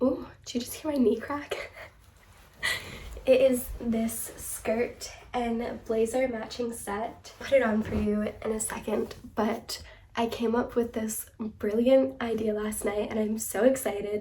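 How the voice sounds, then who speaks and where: A woman at a fairly slow pace, with audible echo in the room. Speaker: fashion and thrift-flip content creator. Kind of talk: casual vlog talk to camera. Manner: animated.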